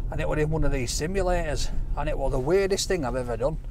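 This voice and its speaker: A man's voice in a dry sound with no echo. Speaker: vlogger. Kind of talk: casual vlog chat. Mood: jokey, storytelling. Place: car. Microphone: camera far.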